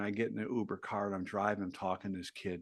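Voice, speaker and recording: A male speaker with a quiet background. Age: 60s. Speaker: author and entrepreneur. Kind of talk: podcast interview.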